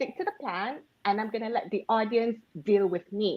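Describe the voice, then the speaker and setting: The speaker has a Malaysian accent. The pace is moderate. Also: woman. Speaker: public speaker. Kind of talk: panel discussion.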